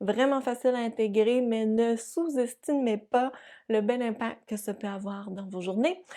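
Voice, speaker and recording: On a very clean recording with a silent background, a woman with a New Brunswick accent speaks at a fairly high pitch with ordinary pitch variation, a dark, mellow tone and a warm, upbeat tone. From New Brunswick, Canada. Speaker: yoga teacher and physiotherapist. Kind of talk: casual talk to camera.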